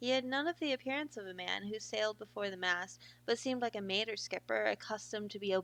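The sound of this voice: This is an unforced reading voice. It carries no strain.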